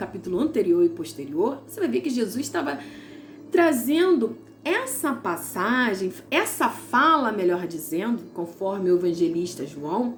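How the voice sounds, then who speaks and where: A woman's warm-toned voice with very wide pitch swings at a fairly slow pace, over noticeable background noise. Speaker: Bible teacher. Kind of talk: devotional Bible teaching. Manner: warm, conversational.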